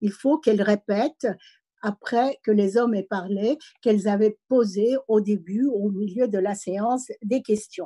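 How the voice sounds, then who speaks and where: Dry and close with no echo, a woman's somewhat breathy voice sits at a fairly high pitch with a dark, mellow tone. She speaks slowly, fairly so, with ordinary pitch variation and a slight non-native accent. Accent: slight foreign accent in French. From immigrant background. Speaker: senator and university professor. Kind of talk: speech at online meeting. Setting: online meeting. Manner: hesitant, many fillers.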